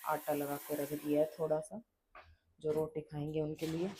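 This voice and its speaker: A woman with a dark, mellow tone speaks at a fairly slow pace in a very deep, low pitch, her intonation monotone and flat. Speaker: vlogger and mother. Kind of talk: casual vlog talk. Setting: at home.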